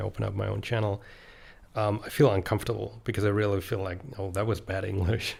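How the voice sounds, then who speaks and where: Somewhat breathy and fairly low-pitched, a man with a German accent speaks in monotone, flat intonation. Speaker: author and YouTuber. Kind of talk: casual podcast monologue. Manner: hesitant, many fillers.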